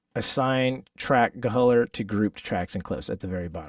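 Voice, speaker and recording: The recording is very clean, with a silent background and a dry, close sound free of echo. Delivery comes at a fairly quick pace with ordinary pitch variation. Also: man. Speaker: musician teaching a workshop. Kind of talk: live tutorial workshop. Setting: livestream with chat. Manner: casual, halting with fillers.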